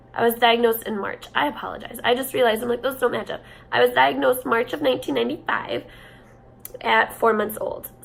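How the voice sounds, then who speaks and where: With music in the background, a woman with an American accent speaks at a very fast pace. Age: 20s. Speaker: vlogger living with cystic fibrosis. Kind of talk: personal vlog storytelling. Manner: casual, hesitant with fillers.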